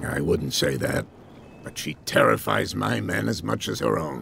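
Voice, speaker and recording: Putting on a character voice, a man speaks raspy and very deep at a moderate pace with lively intonation over clear background noise. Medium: video game. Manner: genial but evasive.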